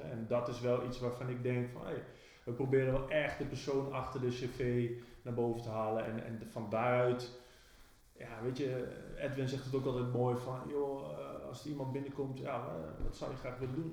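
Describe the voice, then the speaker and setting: A man with a medium-pitched voice talks at a moderate pace, with audible room echo and noticeable background noise. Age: 40s. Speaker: business owner, podcast co-host. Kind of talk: casual chat. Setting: office. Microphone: cheap microphone.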